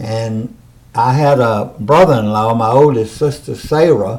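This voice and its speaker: With a Mississippi accent, this voice has a dark, mellow tone and moves at a fairly slow pace. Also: man. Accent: US Southern, Mississippi. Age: 80s+. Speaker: interviewee. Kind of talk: oral history interview.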